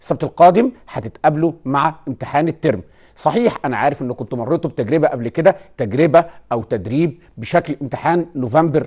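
A man at a moderate pace, lively intonation, against a quiet background. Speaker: teacher presenting a TV lesson. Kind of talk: lecture. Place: studio. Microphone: lapel.

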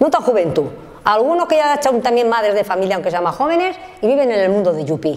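A woman's fairly high voice at a very fast pace, with very wide pitch swings. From Spain, Valencia region (Oliva); Valencia, Spain. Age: 60s. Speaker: factory worker and trade unionist; factory worker. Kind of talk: life story interview. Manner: halting. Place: home room.

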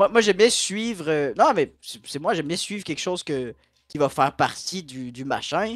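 A man talks at a fairly slow pace with lively intonation. The sound is dry with no echo, and the background is quiet. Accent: Quebec. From Quebec. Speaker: regular stream participant. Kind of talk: casual chat. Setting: voice chat. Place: home room.

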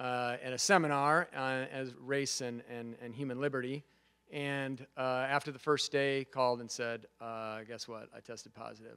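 The background stays quiet. A man speaks at a moderate pace, his intonation fairly even. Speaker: guest lecturer. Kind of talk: lecture. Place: classroom. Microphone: podium.

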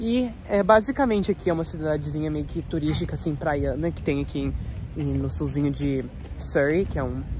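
With noticeable background noise behind him, a man talks at a moderate speed. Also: dry sound with no echo. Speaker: travel vlogger. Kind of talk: casual vlog chat. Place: street. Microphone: phone near.

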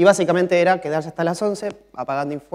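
Delivered at a very fast pace, the voice shows ordinary pitch variation. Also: man. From Argentina. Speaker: mobile software developer; conference speaker. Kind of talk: conference talk. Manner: frequent filler 'eh' hesitations. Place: stage. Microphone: lapel.

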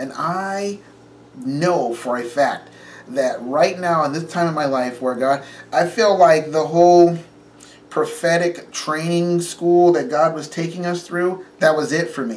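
A man speaks at a fairly slow pace. His pitch is high. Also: ordinary pitch variation. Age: 40s. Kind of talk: casual chat. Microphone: phone near.

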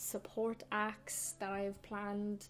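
A woman with a Cork accent at a medium pitch, over music in the background. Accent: Irish, Cork. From Ireland. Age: 20s. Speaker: singer-songwriter. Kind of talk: casual talk to camera.

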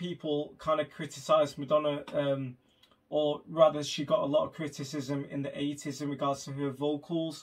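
A man talks at a moderate pace with a fairly high pitch. His tone is fairly bright.

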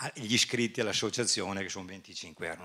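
At a very fast pace, a man talks in a fairly low pitch with fairly even intonation. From northern Italy, Bergamo area; northern Italy. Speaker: doctor and conference speaker; conference speaker. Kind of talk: conference talk. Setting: stage with audience. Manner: halting, with repetitions. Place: hall. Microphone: handheld.

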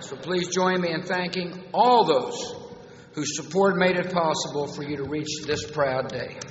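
A man's high-pitched voice at a fairly slow pace, with ordinary pitch variation, audible room echo and light background noise. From United States, Texas. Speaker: U.S. president giving a commencement speech. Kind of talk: commencement speech with humor. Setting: large auditorium, public address system. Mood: warm, humorous. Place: hall. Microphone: podium.

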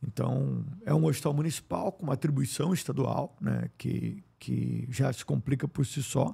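A man speaks at a fairly slow pace. He leaves hardly any pauses. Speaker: politician and public health official, family doctor. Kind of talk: interview. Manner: frequent filler hesitations; articulate.

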